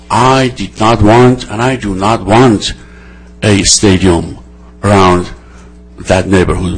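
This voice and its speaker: With music behind him, a man talks using ordinary pitch variation. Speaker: city council member. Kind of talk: council meeting debate. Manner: loud; animated.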